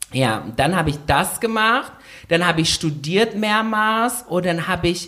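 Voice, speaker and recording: A very clean recording, background silent, carrying an animated tone. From Indonesia. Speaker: podcast co-host. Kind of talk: casual chat. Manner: loud.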